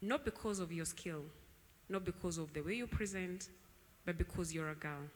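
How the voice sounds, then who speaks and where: With long, frequent pauses, a woman speaks at a moderate pace in a fairly low pitch with ordinary pitch variation. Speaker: tech founder. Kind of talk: panel discussion. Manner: loud.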